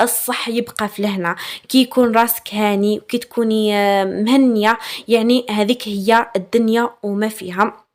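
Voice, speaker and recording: With a warm tone, a woman speaks fairly slowly at a fairly high pitch in a flat monotone. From Algeria, Chaoui region (Aurès/Batna). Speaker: lifestyle vlogger. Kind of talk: casual vlog talk to viewers. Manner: warm, chatty with fillers.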